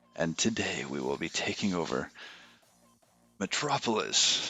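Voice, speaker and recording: A man's put-on character voice, very deep and low, at a moderate pace with music in the background. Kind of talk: theatrical. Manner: menacing, exaggerated.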